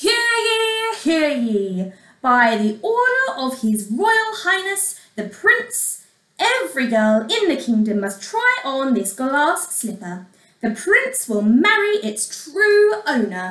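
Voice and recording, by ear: A woman uses a put-on character voice with a high pitch and big pitch swings, speaking at a slow pace with a fairly bright tone as audible room echo surrounds her.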